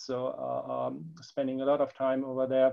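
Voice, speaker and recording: This speaker is a man with a German accent. He keeps a moderate pace. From Germany. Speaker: product manager. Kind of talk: company webinar presentation. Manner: halting, many fillers and repetitions.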